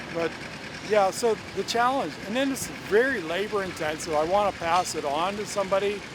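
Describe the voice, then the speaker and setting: Against noticeable background noise, a man with an American accent speaks in a high pitch at a moderate pace, with ordinary pitch variation. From Pennsylvania, US. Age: 60s. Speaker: beekeeper. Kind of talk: interview. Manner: halting, with repeated words.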